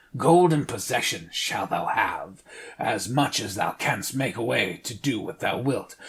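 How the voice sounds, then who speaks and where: Doing a put-on character voice, a raspy man speaks at a moderate pace with a medium pitch. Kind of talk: archaic fairy-tale speech. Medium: read story. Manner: formal, archaic, bargaining.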